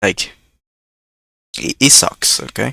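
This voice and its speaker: A man's bright, sharp voice at a fairly slow pace, dry and close with no echo. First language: not English. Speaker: YouTube reaction creator. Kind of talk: casual reaction commentary. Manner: halting, many fillers and repetitions.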